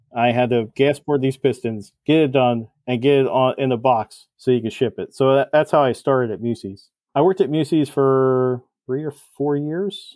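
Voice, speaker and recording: A man with a plain, everyday voice talks at a medium pitch and moderate pace with ordinary pitch variation. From New Jersey. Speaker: cylinder head porter and engine builder. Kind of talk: podcast interview.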